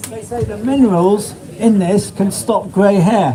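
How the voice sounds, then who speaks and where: Speaking at a fairly slow pace, a man with a high-pitched voice is heard over noticeable background noise. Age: 70s. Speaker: small-scale farmer and compost seller. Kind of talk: talk at a public event, answering questions. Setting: small room with live audience. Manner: animated.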